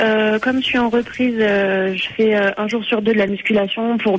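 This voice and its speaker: Here a woman speaks at a very slow pace. Her voice is fairly high in pitch. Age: 20s. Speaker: long-distance runner. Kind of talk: radio interview.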